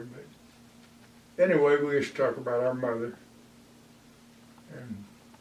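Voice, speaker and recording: This man talks at a fairly slow pace with medium pitch and ordinary pitch variation. Noticeable background noise sits behind him. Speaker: retired history professor. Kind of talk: oral history interview answer.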